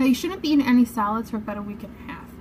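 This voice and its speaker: Light background noise sits behind the voice. A woman speaks at a high pitch. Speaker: vlogger. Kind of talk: casual vlog chat. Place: home room. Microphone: phone near.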